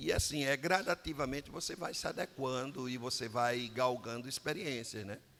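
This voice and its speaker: An unremarkable speaking voice, a man at medium pitch with ordinary pitch variation and a fairly slow pace. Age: 60s. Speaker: pastor. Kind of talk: interview. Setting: studio.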